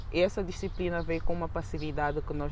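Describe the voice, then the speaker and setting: Audible room echo surrounds a woman talking at a fairly quick pace with ordinary pitch variation. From Angola. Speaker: university student. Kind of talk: casual chat.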